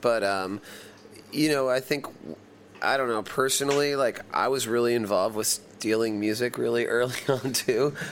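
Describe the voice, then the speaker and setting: A man with an American accent uses an ordinary speaking voice at medium pitch. His pace is moderate, his intonation fairly even, and his loudness very even. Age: 40s. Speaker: rock band singer and multi-instrumentalist. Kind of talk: casual interview.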